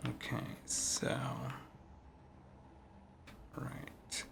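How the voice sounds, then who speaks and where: A man talks at a very slow pace. Noticeable background noise is present. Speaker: gaming streamer. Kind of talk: casual gameplay commentary. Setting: poor-quality home recording.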